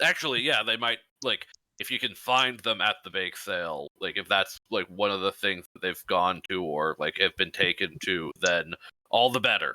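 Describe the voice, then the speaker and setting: A man puts on a character voice. He talks at a moderate pace with a fairly low pitch. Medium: actual play. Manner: blunt, commanding.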